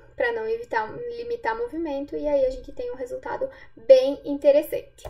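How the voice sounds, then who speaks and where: Moderately paced speech from a woman, with very wide pitch swings. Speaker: physiotherapist. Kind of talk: lecture.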